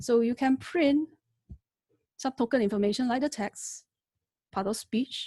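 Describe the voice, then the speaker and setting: Somewhat breathy with a dark, mellow tone, a woman talks at a moderate pace with ordinary pitch variation in a dry, close sound with no echo. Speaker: lecturer teaching AI. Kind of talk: webinar tutorial. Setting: online webinar.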